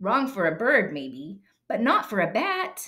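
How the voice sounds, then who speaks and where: A woman performs a put-on character voice at a fairly high pitch. Her delivery is fairly slow. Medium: read story. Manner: blunt.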